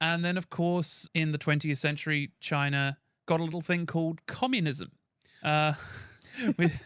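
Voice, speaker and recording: The speaker has an English accent and a fairly slow pace with long, frequent pauses. The recording is very clean, with a silent background. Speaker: podcast co-host. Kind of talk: casual chat. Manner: hesitant, many fillers.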